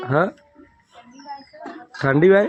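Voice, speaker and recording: A man's high-pitched voice with ordinary pitch variation, over music in the background. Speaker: family vlogger. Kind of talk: casual vlog.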